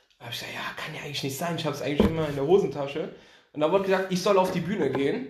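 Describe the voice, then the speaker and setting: Very fast speech with ordinary pitch variation, big swings in loudness and audible room echo. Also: man, fairly high pitch for a man. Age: 20s. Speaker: podcast guest, basketball fan. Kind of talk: casual chat.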